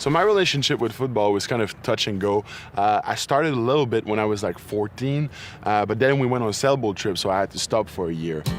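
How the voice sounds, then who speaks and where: Over noticeable background noise, a man with a French Canadian accent talks at a very fast pace in a fairly low pitch. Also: ordinary pitch variation. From Quebec, near Montreal. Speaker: football player and medical student. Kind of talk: interview.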